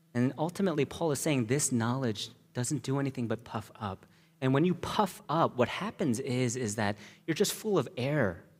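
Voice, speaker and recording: Using a plain, everyday voice, a man speaks at a moderate pace with medium pitch and lively intonation. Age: 30s. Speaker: pastor. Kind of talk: sermon. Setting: church.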